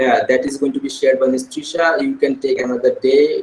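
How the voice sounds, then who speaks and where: The man talks at a fairly quick pace. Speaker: school administrator leading teacher training. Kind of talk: online staff meeting. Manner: fast.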